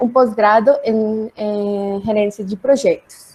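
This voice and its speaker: A woman speaks at a fairly slow pace with a Spanish accent, her pitch fairly high and her tone dark and mellow. Her pitch varies in an ordinary way. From Colombia, Cali. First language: Spanish (speaking Portuguese). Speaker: economist. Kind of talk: self-introduction. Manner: halting.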